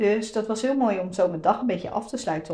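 In an ordinary speaking voice, a woman talks at a fairly quick pace with ordinary pitch variation. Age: 30s. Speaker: podcast host, web designer. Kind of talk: solo podcast monologue. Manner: casual, many fillers.

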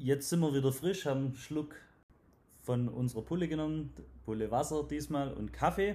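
A man's fairly high, somewhat breathy voice with a Swabian accent and a dark, mellow tone, at a moderate pace with long, frequent pauses and ordinary pitch variation. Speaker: podcast host and sales trainer. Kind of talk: interview. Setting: at guest's company premises.

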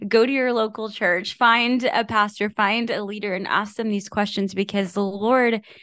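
A normal speaking voice moves at a fairly slow pace with fairly even intonation. The background is quiet. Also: woman. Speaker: podcast host. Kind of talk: casual chat about scripture.

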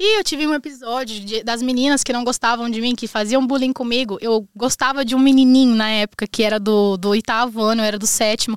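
Using a normal speaking voice, a woman talks at a fairly quick pace with fairly even intonation and hardly any pauses. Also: fairly high pitch for a woman. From Brazil, northwestern Paraná. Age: 20s. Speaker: immigrant entrepreneur, makeup artist. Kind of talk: casual chat.

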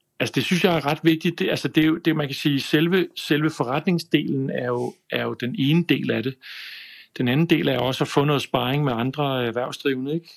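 Here a man talks at a moderate pace. His pitch is fairly high and shows ordinary variation. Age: 50s. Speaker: video production business owner. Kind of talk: casual chat. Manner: halting, many fillers and repeats.

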